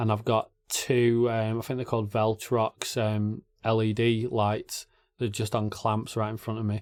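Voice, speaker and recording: A man with an English accent speaks at a medium pitch and a fairly slow pace. His intonation is monotone and flat, on a very clean recording with a silent background. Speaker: YouTube reaction channel host. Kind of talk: casual Q&A talk to camera.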